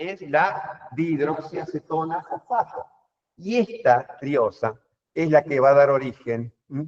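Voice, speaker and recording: Very slowly, a man speaks with lively intonation. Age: 60s. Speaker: professor. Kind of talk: lecture.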